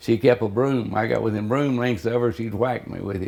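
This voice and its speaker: A man with a Texan accent talks at a fairly slow pace. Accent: Texas Southern. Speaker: interviewee. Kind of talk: oral history interview. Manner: halting.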